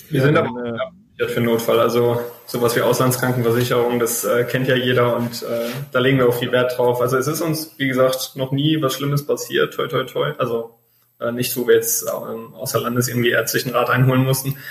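Against noticeable background noise, a man speaks at a fairly quick pace in a medium pitch with monotone, flat intonation. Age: 20s. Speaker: travel blogger. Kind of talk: interview.

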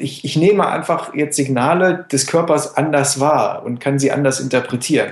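At a moderate pace, a man talks with fairly even intonation over noticeable background noise. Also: fairly high pitch for a man, hardly any pauses. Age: 30s. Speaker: boxing coach and former semi-pro boxer. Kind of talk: casual interview.

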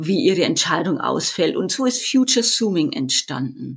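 A woman speaks with a Bavarian accent, her pitch swinging very widely. The recording is very clean, with a silent background. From Bavaria, Erding northeast of Munich. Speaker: business consultant, vision coach. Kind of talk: interview.

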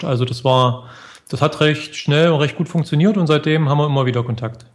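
The man's voice has a somewhat breathy quality. He talks at a very fast pace. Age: 40s. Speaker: blogger. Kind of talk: interview.

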